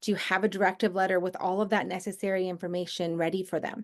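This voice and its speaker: Over a quiet background, a woman is talking. She moves at a fairly quick pace with fairly even intonation. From Southern California. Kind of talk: online workshop presentation. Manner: fast.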